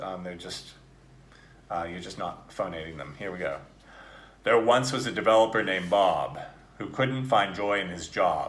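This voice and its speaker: Speaking at a moderate pace in a General American accent, a man uses an ordinary speaking voice with fairly low pitch and ordinary pitch variation. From United States. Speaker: actor and accent coach. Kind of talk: accent coaching drill. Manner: casual, encouraging.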